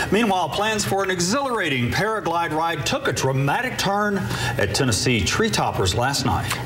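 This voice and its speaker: Against noticeable background noise, a man with a high pitch talks at a moderate pace with hardly any pauses. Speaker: television news anchor. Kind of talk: TV news broadcast anchor read. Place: studio. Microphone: lapel.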